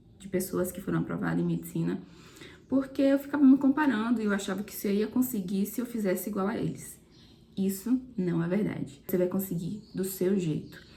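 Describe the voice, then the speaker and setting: A woman speaks at a moderate pace in a dark, mellow tone. Vocal fry runs through her voice. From Brazil, southern Bahia. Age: 20s. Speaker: medical student and content creator. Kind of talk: personal testimony.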